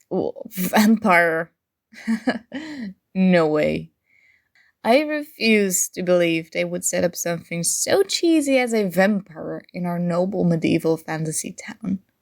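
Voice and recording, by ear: Slowly and with vocal fry, the speaker uses a put-on character voice with lively intonation. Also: woman, fairly low pitch for a woman.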